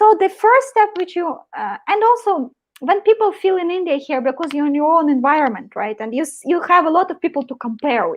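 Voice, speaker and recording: An extremely high-pitched woman in a Russian accent, fairly quick, with very wide pitch swings. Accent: Russian accent, non-native English. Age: 30s. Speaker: marketing professional. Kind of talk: live interview.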